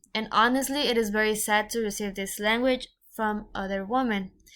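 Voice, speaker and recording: Speaking with a strong Mexican accent, a woman uses a fairly high pitch, fairly even intonation and a moderate pace on a very clean recording with a silent background. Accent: thick Mexican Spanish. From Mexico. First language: Spanish. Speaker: podcaster. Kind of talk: podcast monologue. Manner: halting.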